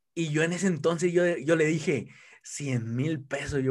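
Speaking at a very slow pace, a man with a fairly high pitch shows ordinary pitch variation in a very clean recording with a silent background. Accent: Mexican. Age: 20s. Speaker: network marketing entrepreneur. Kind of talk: casual interview.

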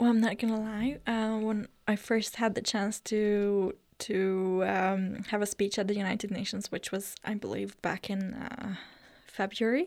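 A woman with a Hungarian accent speaks slowly at a medium pitch with fairly even intonation, in a very clean recording with a silent background. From northern Hungary (Eger). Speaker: youth delegate to the UN. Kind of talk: interview.

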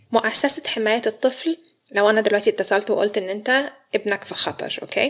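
A woman with an ordinary speaking voice talks fairly quickly at fairly high pitch with ordinary pitch variation. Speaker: psychological counsellor. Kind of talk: interview. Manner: frequent English code-switching.

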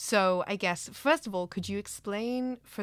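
A woman with a slight North American accent at a moderate pace, ordinary pitch variation and a very clean recording with a silent background. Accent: slight North American twang. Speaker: podcast host, lecturer. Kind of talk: interview.

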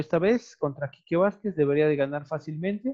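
Delivered at a moderate pace with ordinary pitch variation, this voice has a Mexican accent and a dry, close sound with no echo. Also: man. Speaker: video podcast host. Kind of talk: casual chat.

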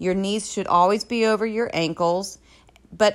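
A woman speaks in an ordinary speaking voice on a very clean recording with a silent background. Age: 30s. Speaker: personal trainer. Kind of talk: solo podcast tutorial.

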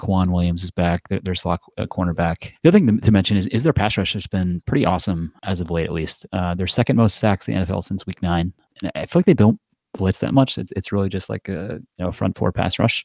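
A man talks very fast in a very deep, low pitch with ordinary pitch variation. The recording is very clean with a silent background, and the sound is dry and close with no echo. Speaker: podcast co-host, football bettor. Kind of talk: casual sports betting chat. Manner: casual, filler-heavy.

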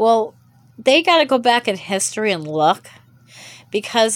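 On a very clean recording with a silent background, a woman speaks at a fairly slow pace. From US. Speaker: podcast host. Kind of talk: solo monologue. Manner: halting.

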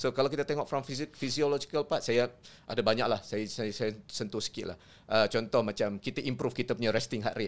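Ordinary pitch variation and a fairly quick pace in an ordinary speaking voice. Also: man, medium pitch for a man. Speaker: sports psychology lecturer. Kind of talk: explanatory discussion.

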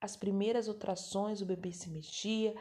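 Her voice medium in pitch with a dark, mellow tone, a woman speaks at a fairly slow pace. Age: 30s. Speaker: podcast host, adoptive mother. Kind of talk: personal testimony. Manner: halting, self-correcting.

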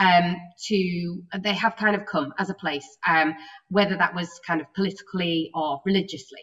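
A woman talks in an unremarkable speaking voice at a moderate pace. Her pitch variation is ordinary. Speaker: event organizer and moderator. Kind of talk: event moderation. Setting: video call.

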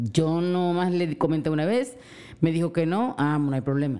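Recorded very cleanly with a silent background, a woman with a fairly low pitch and a dark, mellow tone speaks with a coastal Mexican accent. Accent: coastal Mexican, drops S. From Mexican coast. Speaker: host's mother. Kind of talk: casual chat.

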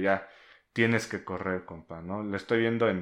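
Over a quiet background, a man talks at a fairly quick pace in a normal speaking voice, fairly low in pitch with fairly even intonation. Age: 30s. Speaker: podcast co-host. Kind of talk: casual chat.

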